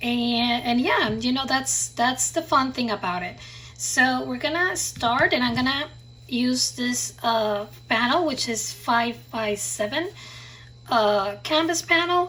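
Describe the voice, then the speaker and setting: A woman with a non-native accent talks at a very slow pace. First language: not English. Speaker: craft and art youtuber. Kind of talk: tutorial. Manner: halting, many fillers.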